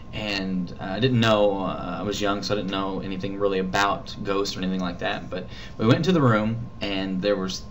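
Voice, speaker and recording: A man mumbles at a moderate pace and a fairly low pitch. Noticeable background noise and audible room echo surround his voice. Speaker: vlogger. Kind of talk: casual vlog storytelling. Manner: mumbling; halting.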